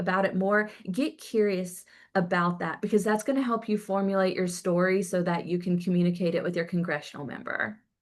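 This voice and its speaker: A woman with a Southern accent speaks in a medium pitch. The background is quiet. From US South, Tennessee. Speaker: patient advocate. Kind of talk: virtual town hall talk.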